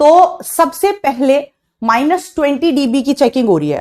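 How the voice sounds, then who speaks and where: Her voice high-pitched, dark and mellow, a woman speaks with lively intonation. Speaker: online biology teacher. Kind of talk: live online lecture. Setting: live stream class. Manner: soft, low volume.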